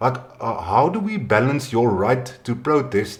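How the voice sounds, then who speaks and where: At a very slow pace, a man with a South African accent speaks in a somewhat breathy voice with ordinary pitch variation, and audible room echo is present. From South Africa, Western Cape. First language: Afrikaans. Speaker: podcast host. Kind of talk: casual interview.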